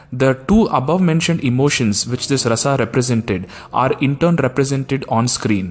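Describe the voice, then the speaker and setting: Music in the background behind a man with a Tamil accent, medium pitch, ordinary pitch variation and a moderate pace. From India, Tamil-speaking. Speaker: podcast host, film reviewer. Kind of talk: scripted podcast review.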